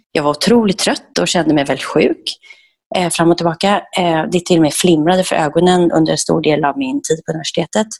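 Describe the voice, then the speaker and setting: A woman talks at a fairly quick pace in a plain, everyday voice, fairly low in pitch with ordinary pitch variation and very even loudness. The sound is dry and close, with no echo. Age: 40s. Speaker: raw food chef and entrepreneur. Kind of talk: podcast interview.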